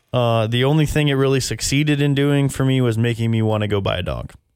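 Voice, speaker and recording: A man with an unremarkable speaking voice talks in an American accent at a fairly quick pace. His pitch is medium and his intonation fairly even. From Texas. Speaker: podcast host and movie reviewer. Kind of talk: casual chat.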